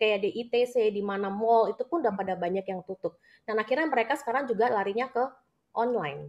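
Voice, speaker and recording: In a Jakarta accent, a woman talks at a fairly quick pace with a fairly high pitch and ordinary pitch variation against a quiet background. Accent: Indonesian accent, Jakarta. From Jakarta, Indonesia. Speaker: businesswoman and network marketing leader; interviewee. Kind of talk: live interview, personal testimony. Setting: live video. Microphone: video call.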